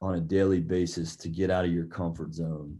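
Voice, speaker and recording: The man speaks in a dark, mellow tone with an American accent. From US South, Georgia (Marietta, near Atlanta). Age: 30s. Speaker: basketball coach. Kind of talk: interview.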